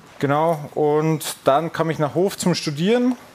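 A man with a fairly high pitch speaks at a very slow pace, his pitch varying in an ordinary way. Noticeable background noise sits behind him. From Bavaria, Upper Palatinate (Furth im Wald). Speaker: American football player. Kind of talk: casual chat while cooking. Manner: halting, many fillers.

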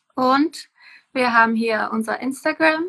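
A woman speaks with a Czech accent. Her pace is fairly slow. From Czech Republic. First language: Czech (speaking German). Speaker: permaculture farmer. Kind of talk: casual interview. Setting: Instagram live video call.

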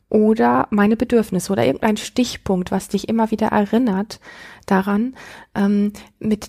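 Her dark, mellow tone is somewhat breathy as this woman talks at a moderate pace, medium in pitch with ordinary pitch variation. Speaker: podcast host, self-worth coach. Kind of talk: advice monologue. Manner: smiling, warm.

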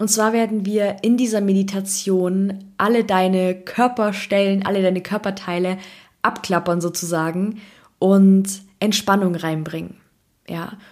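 In a monotone, flat voice of medium pitch, a woman talks at a fairly slow pace. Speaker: podcast host and meditation guide. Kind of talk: guided meditation. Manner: slow, soft, calm and soothing, with long pauses between instructions.

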